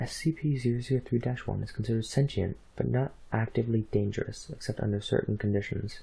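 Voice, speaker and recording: The voice is soft-spoken. The pace is fairly quick. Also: man. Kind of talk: reading of fictional documents.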